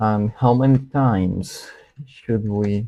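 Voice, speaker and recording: A man with a non-native accent speaks at a very slow pace. His dark, mellow voice sits fairly low in pitch, with fairly even intonation. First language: not English. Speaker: student livestreamer solving coding problems. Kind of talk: live coding stream, thinking aloud. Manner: halting, hesitant with repetitions.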